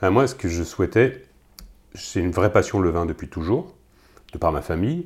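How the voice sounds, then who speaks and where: With a very deep, low pitch and a somewhat breathy voice, a man speaks at a moderate pace with lively intonation and long, frequent pauses, on a very clean recording with a silent background. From Loire Valley, France. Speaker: winemaker. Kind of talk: casual interview.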